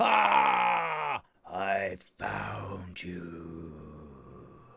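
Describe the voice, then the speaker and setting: A man puts on a raspy character voice with a menacing tone. His pitch is very deep and low. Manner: menacing, gloating.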